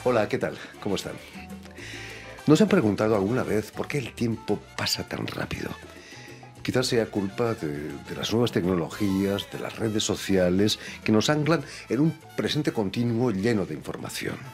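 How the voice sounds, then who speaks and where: Lively intonation broken by long, frequent pauses, with music in the background. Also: man, fairly low pitch for a man, moderate pace. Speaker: radio host. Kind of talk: radio show introduction.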